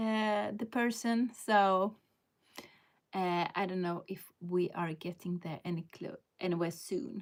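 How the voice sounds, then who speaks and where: A woman with a Swedish accent speaks at a very slow pace in a medium pitch with ordinary pitch variation. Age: 50s. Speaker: lifestyle vlogger. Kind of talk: live stream casual chat. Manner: halting, with many fillers.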